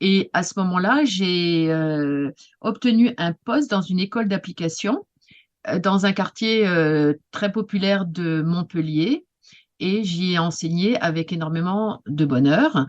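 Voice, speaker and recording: Very slow pace and lively intonation from a woman at medium pitch, in a dry, close sound with no echo. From Paris region, France. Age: 60s. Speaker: retired teacher and writing workshop leader. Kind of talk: interview. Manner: halting, many hesitations.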